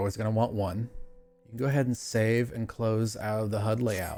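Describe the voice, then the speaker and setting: Over music in the background, a man at a medium pitch speaks at a fairly quick pace. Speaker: gaming tutorial youtuber. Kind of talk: tutorial. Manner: halting, self-described stutter; casual.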